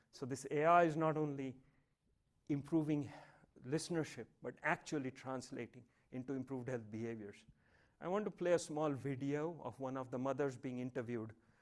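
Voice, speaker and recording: With a Marathi accent, a man with a fairly high pitch speaks at a fairly quick pace, using ordinary pitch variation and long, frequent pauses. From India, Mumbai. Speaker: professor. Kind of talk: lecture.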